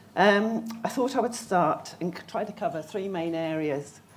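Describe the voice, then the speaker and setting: A woman with a fairly low pitch and ordinary pitch variation speaks at a moderate pace, with audible room echo around her voice. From southern England, Surrey. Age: 50s. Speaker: patient speaker. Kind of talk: conference talk. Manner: halting.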